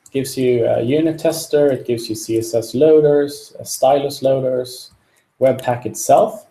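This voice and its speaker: At a fairly slow pace, a man speaks in a fairly high voice with ordinary pitch variation. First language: not English. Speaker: software developer. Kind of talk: live coding tutorial. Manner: halting, many fillers.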